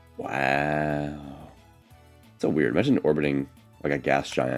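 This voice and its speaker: A man speaks in a very deep, low voice over background music. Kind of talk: casual gameplay commentary. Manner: casual, hesitant, with filler words.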